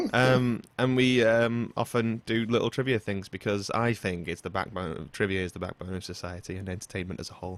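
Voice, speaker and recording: A man in a British accent talks at a fairly quick pace with a fairly low pitch. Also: ordinary pitch variation. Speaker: podcast host. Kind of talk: casual chat. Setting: online voice call podcast. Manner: relaxed, rambling. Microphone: close to mic with pop screen, through a mixer.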